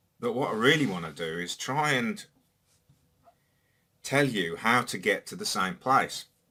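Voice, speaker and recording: This man's tone is bright and sharp, and he speaks at a fairly slow pace. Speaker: YouTuber. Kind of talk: personal monologue. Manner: reflective.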